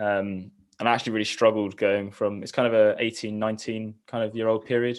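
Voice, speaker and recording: In a southern English accent, a man talks at a fairly quick pace with monotone, flat intonation over a quiet background. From southern England, Eastbourne. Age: 20s. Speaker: triathlete. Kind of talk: interview.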